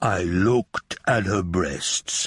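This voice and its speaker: A man puts on a character voice with a strong Hungarian accent, very deep and low in pitch, hoarse, with ordinary pitch variation. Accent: thick Hungarian. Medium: read story. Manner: theatrical, worldly.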